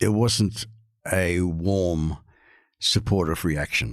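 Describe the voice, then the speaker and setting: Very deep and low, a man's voice with an Australian accent shows ordinary pitch variation in a very clean recording with a silent background. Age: 60s. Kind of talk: interview.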